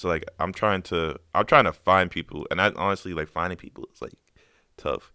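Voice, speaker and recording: The recording is very clean with a silent background, and a man speaks at a moderate pace with a very deep, low pitch and a bright, sharp tone. His loudness swings widely while his pitch varies in an ordinary way. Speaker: beatmaker. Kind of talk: casual chat. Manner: casual.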